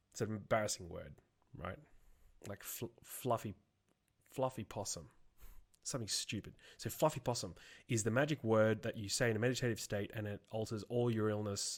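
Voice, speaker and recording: A man with a fairly low pitch speaks at a fairly quick pace, using ordinary pitch variation and long, frequent pauses, in a very clean recording with a silent background. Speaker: motivational video host. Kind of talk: motivational talk. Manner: halting, self-correcting.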